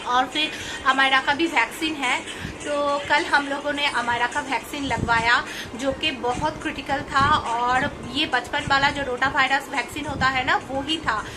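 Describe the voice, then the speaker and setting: A woman projects a raised, high-pitched voice in a flat monotone, with noticeable background noise behind her. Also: moderate pace. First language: Bengali (speaking Hindi). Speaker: family vlogger. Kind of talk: casual vlog talk to camera.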